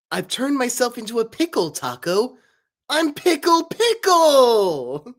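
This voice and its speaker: This put-on character voice sits at a fairly high pitch and moves at a fairly slow pace. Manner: shouting, cartoonish, exaggerated.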